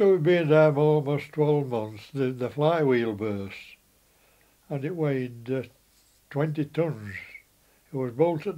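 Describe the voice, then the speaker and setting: In a Yorkshire accent, a man with a dark, mellow tone speaks at a fairly slow pace, using ordinary pitch variation and long, frequent pauses. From West Riding of Yorkshire, England. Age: 80s+. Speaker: former mill worker and apprentice plater. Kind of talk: reminiscing about his life.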